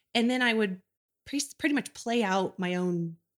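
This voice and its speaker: Speaking in an unremarkable speaking voice, a woman keeps a moderate pace with ordinary pitch variation. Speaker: mom guest. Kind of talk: casual chat. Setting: in person, same room.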